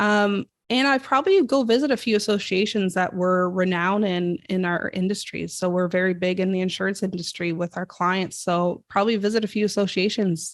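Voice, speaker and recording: In a Canadian accent, a woman talks at a fairly quick pace with hardly any pauses. Her medium pitch shows ordinary variation, and the recording is very clean with a silent background. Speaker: marketing creative director. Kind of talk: podcast interview. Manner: fast.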